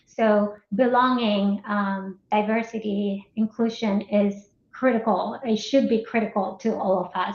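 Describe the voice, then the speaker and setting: A woman with a Colombian accent speaks at a moderate pace. Her voice is fairly high, with fairly even intonation. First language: Spanish. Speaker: marketing executive. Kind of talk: interview.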